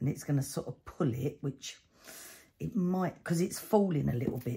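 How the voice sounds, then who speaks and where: Somewhat breathy and dark, mellow in tone, a woman's voice makes very wide pitch swings. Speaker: cardmaking channel host. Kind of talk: crafting tutorial. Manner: chatty, thinking aloud.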